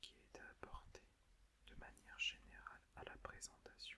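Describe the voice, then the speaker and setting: Whispering, a man talks at a fairly slow pace. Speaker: ASMR creator. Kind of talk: ASMR book presentation. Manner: whispered.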